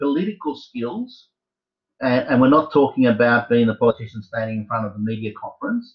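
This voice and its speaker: Somewhat breathy and fairly quick, a man talks with very wide pitch swings. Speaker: university tutor. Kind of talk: lecture. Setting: video call.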